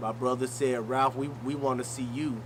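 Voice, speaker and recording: With audible room echo and noticeable background noise, a man talks at a moderate pace in a medium-pitched, flat monotone. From US South (Greenwood, Mississippi). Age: 30s. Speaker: battle rapper. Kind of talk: casual interview.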